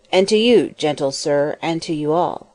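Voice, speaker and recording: Using a put-on character voice, a woman speaks at a fairly low pitch with ordinary pitch variation. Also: moderate pace. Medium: audio drama. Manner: calm, kindly.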